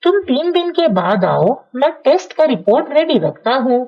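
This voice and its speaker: A cartoonish character voice, female-sounding and high-pitched. Its pitch swings very widely at a moderate pace. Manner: calm, reassuring.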